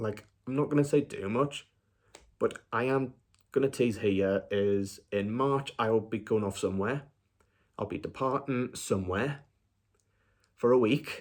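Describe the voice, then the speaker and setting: A quiet man speaks at a medium pitch, leaving long, frequent pauses. The recording is very clean, with a silent background. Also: ordinary pitch variation, fairly slow pace. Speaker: film review YouTuber. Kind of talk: casual vlog update.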